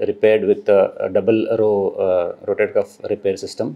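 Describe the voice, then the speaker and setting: The setting is quiet. A man does the talking. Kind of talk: testimonial interview answer. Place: office.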